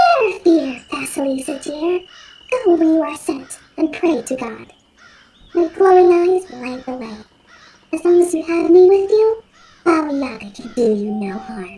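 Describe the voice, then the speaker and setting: A woman puts on a character voice pitched extremely high. She keeps to a moderate pace. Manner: soothing, reassuring.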